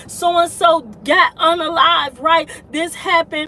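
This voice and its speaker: Over noticeable background noise, a woman speaks in a raised, projected voice. Her pitch is extremely high and her pace fairly slow. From Detroit, US Midwest. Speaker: YouTube commentator. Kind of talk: livestream commentary. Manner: animated, halting with fillers.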